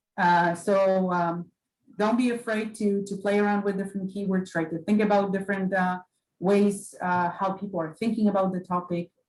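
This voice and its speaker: A woman with a Polish accent speaks at a fairly quick pace in a medium pitch, her intonation flat and monotone. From Poland. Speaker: librarian. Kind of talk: library orientation lecture. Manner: halting, many fillers.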